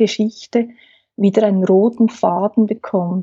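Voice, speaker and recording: A woman speaks with fairly even intonation and a somewhat breathy voice. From Switzerland, Aargau. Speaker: family therapist. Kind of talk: interview.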